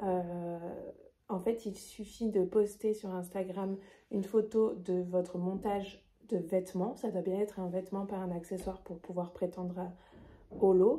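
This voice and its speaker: Speaking at a fairly slow pace, a woman has a medium pitch and a dark, mellow tone. Her intonation is monotone and flat. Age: 20s. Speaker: knitting vlogger. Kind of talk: casual vlog presentation. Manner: hesitant, many fillers.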